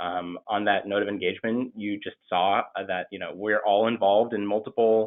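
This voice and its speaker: This man has an unremarkable speaking voice with a fairly low pitch. His pace is moderate. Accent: American. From Maine, US. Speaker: MBA student. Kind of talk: webinar presentation. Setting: video call.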